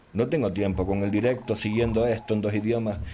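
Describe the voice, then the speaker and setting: A man with a Canarian accent speaks at a moderate pace, his fairly low pitch carrying a dark, mellow tone. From Canary Islands, Spain. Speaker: gaming youtuber. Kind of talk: channel announcement monologue. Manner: casual, hesitant with fillers.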